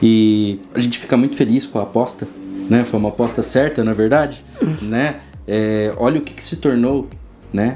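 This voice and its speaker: At a moderate pace with long, frequent pauses, a man speaks at medium pitch with ordinary pitch variation over noticeable background noise. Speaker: biologist at a lab. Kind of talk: casual interview chat. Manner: hesitant, many fillers.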